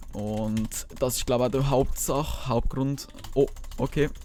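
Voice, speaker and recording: The man's pitch is medium and his intonation is monotone and flat. He keeps a moderate pace. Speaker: gaming YouTuber. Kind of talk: casual gaming commentary.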